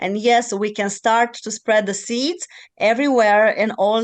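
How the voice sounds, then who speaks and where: A woman's fairly high voice with ordinary pitch variation and a Romanian accent, at a fairly slow pace against a quiet background. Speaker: podcast host and channeling teacher. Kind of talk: podcast interview.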